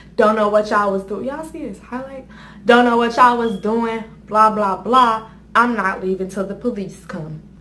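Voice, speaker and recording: Amid audible room echo, a woman speaks with a fairly high pitch, a bright, sharp tone and fairly even intonation. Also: big swings in loudness. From US, West Indian household. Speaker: YouTuber. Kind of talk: storytelling.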